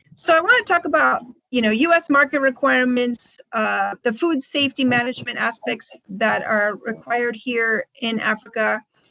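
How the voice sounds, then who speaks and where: In a dry, close sound with no echo, a woman with an American accent talks at a moderate pace with hardly any pauses, her high voice bright and sharp and her pitch varying in an ordinary way. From United States. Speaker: food exporter, company director. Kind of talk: webinar presentation.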